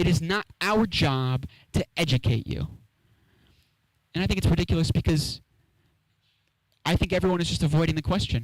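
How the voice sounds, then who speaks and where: A man speaks at a fairly high pitch. His pace is moderate, with ordinary pitch variation. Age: 20s. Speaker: stand-up comedian. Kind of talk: stand-up.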